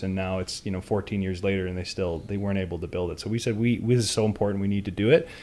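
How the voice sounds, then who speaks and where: At a very fast pace, a man with a dark, mellow tone and fairly low pitch speaks with fairly even intonation. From West Kelowna, British Columbia, Canada. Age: 30s. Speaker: city councillor. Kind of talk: interview.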